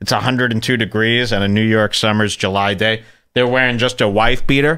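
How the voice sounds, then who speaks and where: A man with a Chicago accent talks at a moderate pace. His tone is bright and sharp over a quiet background. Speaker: podcast host. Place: studio. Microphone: studio mic.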